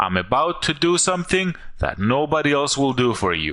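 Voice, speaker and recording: Against a quiet background, a man with a non-native accent talks at a fairly slow pace in a bright, sharp tone with very wide pitch swings. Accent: foreign. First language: not English. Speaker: online marketer. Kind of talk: sales pitch. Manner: animated.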